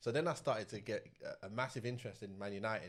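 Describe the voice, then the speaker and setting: A man with a southern English accent, fairly low in pitch, with ordinary pitch variation. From South London. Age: 40s. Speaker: former professional footballer. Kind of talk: interview storytelling. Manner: casual.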